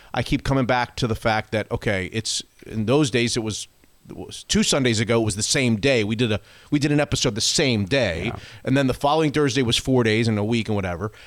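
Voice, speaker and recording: A man with an ordinary speaking voice, medium pitch, ordinary pitch variation and a fairly quick pace, on a very clean recording with a silent background. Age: 50s. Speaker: sports radio podcast host. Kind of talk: casual chat.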